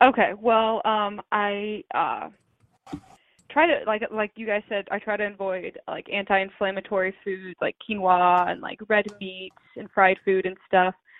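A woman's plain, everyday voice at a medium pitch and a fairly slow pace, with big swings in loudness. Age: 20s. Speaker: arthritis patient. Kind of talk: interview.

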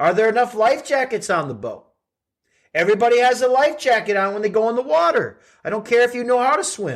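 Over a quiet background, a man talks at a fairly quick pace in a high pitch. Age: 50s. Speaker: life and fitness coach, podcast host. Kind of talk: solo motivational monologue.

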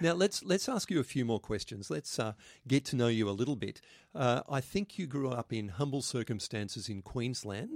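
With an Australian accent, a man of medium pitch speaks at a moderate pace, his pitch swinging very widely. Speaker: podcast host, Anglican minister. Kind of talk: podcast discussion.

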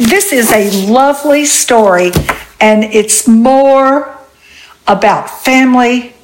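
Very slowly, a woman speaks with lively intonation. Noticeable background noise runs under her voice. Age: 80s+. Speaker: widowed retiree and podcast co-host. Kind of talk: casual chat.

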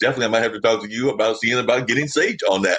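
A man with an American accent. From North Carolina. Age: 50s. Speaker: podcast producer and host. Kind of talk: interview.

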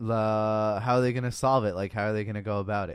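This is an unremarkable speaking voice with fairly even intonation. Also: man. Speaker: podcast co-host. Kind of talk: casual chat.

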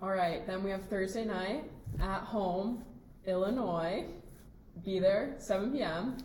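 Amid noticeable background noise and audible room echo, a woman with an American accent speaks very slowly at a medium pitch with ordinary pitch variation and long, frequent pauses. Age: young. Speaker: college soccer player. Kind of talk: casual chat. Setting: hotel room.

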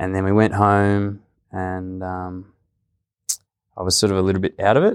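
In an Australian accent, a man with a very deep, low pitch speaks at a moderate pace in a monotone, flat intonation with long, frequent pauses, on a very clean recording with a silent background. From rural Victoria, Australia. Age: young. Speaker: podcast host. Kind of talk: casual interview; scripted intro.

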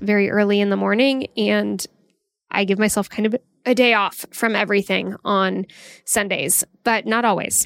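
In a plain, everyday voice, a woman talks at a moderate pace with medium pitch and fairly even intonation, recorded very cleanly against a silent background. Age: 40s. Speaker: podcast host, career coach. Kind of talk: solo podcast monologue, motivational advice. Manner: casual, conversational.

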